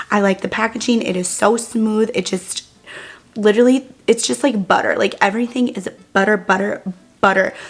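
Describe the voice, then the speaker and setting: Against noticeable background noise, a woman with a fairly high pitch talks at a moderate pace in an animated tone, her pitch varying in an ordinary way. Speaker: beauty YouTuber. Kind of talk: makeup tutorial.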